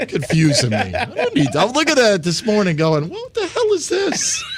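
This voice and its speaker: Background noise is noticeable as a man with an American accent speaks at a moderate pace in an extremely high pitch. His tone is animated, with very wide pitch swings. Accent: slight New York accent, stronger when excited. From New York. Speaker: sports radio host. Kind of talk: casual sports talk radio banter. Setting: radio studio, streamed live.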